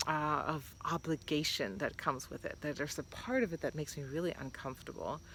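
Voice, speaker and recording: With hardly any pauses, a woman talks very fast at a very deep, low pitch, her intonation lively. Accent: non-native. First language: not English. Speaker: vlogger. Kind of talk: casual vlog monologue. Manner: hesitant, many fillers.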